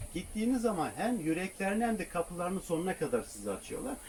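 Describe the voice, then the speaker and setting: A man speaks over noticeable background noise. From southeastern Turkey. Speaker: travel vlogger living in a camper van. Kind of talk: casual interview.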